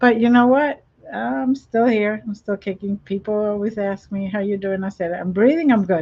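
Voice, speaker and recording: A woman's unremarkable speaking voice at medium pitch, moderate pace and ordinary pitch variation. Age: 60s. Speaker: talk show host. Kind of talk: interview. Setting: live streamed show.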